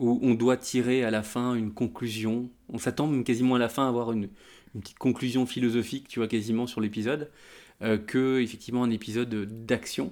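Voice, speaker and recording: In a very clean recording with a silent background, a man talks at a fairly quick pace and medium pitch, his intonation monotone and flat. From France. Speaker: geek culture website founder. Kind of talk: casual chat.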